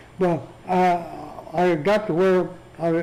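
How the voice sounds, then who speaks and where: With an American accent, a man speaks at a high pitch in a space with audible room echo. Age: 80s+. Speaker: retired feed store manager. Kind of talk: oral history interview. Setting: care center interview room. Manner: halting.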